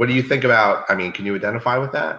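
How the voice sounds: In a room with audible echo, a man speaks at a very fast pace, medium pitch and ordinary pitch variation, his tone bright and sharp.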